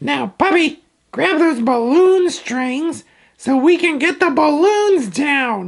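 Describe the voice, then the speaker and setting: In a cartoonish character voice, the speaker talks at a high pitch and a very slow pace. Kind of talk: children's educational puppet show. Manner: upbeat, playful.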